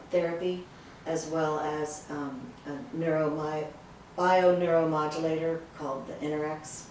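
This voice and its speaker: A woman with a very deep, low pitch talks in a flat monotone at a fairly slow pace, her loudness swinging widely amid audible room echo and noticeable background noise. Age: 70s. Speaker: patient giving a testimonial. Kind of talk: testimony. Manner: halting.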